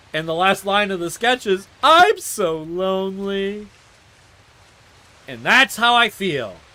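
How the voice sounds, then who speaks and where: Raising and projecting his high-pitched voice, a man speaks very slowly in a bright, sharp tone, with lively intonation, big swings in loudness and long, frequent pauses. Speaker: live streamer. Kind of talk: casual monologue. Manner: animated.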